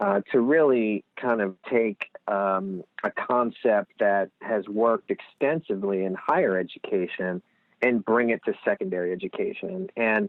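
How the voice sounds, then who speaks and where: A man with a Lehigh Valley accent, medium pitch, very wide swings in pitch, and a moderate pace. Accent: Lehigh Valley Pennsylvania. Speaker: nonprofit executive director. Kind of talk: podcast interview.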